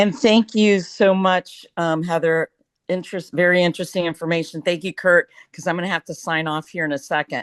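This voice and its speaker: A woman with an American accent speaks in an unremarkable speaking voice at a fairly quick pace, her intonation fairly even, the sound dry and close with no echo over a quiet background. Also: fairly low pitch for a woman. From Florida. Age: 60s. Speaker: meeting participant. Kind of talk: question from audience.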